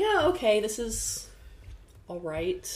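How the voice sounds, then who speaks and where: There's audible room echo as a woman talks. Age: 50s. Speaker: podcast guest. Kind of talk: casual chat.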